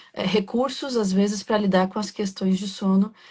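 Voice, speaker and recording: A soft-spoken woman's voice, somewhat breathy, at medium pitch, with fairly even intonation and a moderate pace. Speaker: podcast host. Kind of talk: interview.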